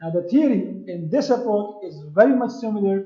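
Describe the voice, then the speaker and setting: A man in a Pashto accent, with a dark, mellow tone, ordinary pitch variation and a moderate pace. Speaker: university lecturer. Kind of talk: lecture. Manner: halting, repetitive fillers.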